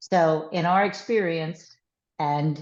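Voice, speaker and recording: With a New York accent, a woman speaks in a fairly low voice with ordinary pitch variation. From US, New York. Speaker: former sports league executive. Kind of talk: webinar talk. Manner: animated.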